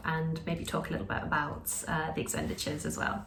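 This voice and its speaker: A woman with a British accent at a moderate pace, amid audible room echo. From Britain. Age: 20s. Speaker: lifestyle vlogger. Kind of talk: casual vlog talk.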